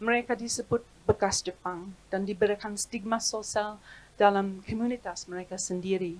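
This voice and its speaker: This woman speaks at a medium pitch with a monotone, flat intonation. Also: moderate pace. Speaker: historian. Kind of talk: reading aloud. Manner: formal.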